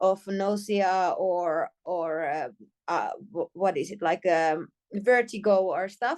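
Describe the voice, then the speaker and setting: A woman speaks with a Finnish accent. Her pace is very slow. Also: medium pitch for a woman, ordinary pitch variation. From Finland. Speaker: healer. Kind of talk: casual chat. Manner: halting.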